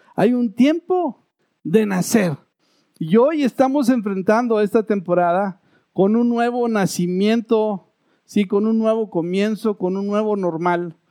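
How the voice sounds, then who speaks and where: Speaking very slowly, a man with a high pitch and a dark, mellow tone shows ordinary pitch variation in a dry, close sound with no echo. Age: 50s. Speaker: pastor. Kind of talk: sermon.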